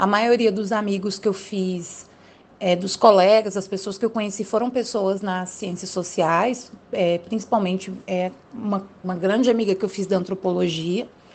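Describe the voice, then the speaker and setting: A woman with a medium pitch speaks at a moderate pace with fairly even intonation. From Brazil, Federal District. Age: 20s. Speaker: political scientist. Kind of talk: interview. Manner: hesitant with fillers.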